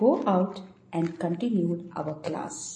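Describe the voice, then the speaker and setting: Breathing somewhat audibly, a woman with a dark, mellow tone and fairly low pitch speaks at a very slow pace. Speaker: audio narrator. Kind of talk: reading aloud a 1912 diary entry, devotional narration. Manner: measured, reverent, steady; formal, clear, even pace.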